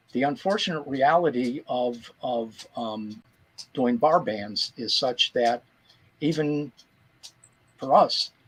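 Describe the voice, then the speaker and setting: Speaking with an American accent, a man uses lively intonation at a very slow pace. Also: long, frequent pauses. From US, Pittsburgh. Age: 70s. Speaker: musician. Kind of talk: interview. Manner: halting.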